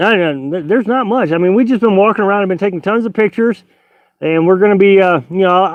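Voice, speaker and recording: This man has a high pitch and ordinary pitch variation. He talks at a fairly quick pace. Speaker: travel vlogger. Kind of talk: live stream chat reading viewer comments. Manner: halting, hesitant.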